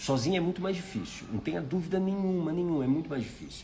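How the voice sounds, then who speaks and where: Somewhat breathy and dark, mellow in tone, a man speaks at a fairly high pitch with a Brazilian accent. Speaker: life mentor. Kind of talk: live stream talk. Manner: conversational.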